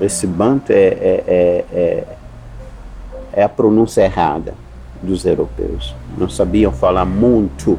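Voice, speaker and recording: Against noticeable background noise, a man talks very slowly with long, frequent pauses and very even loudness. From Mozambique, Zambezi valley. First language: Sena (Chisena) (speaking Portuguese). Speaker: university professor. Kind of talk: interview conversation.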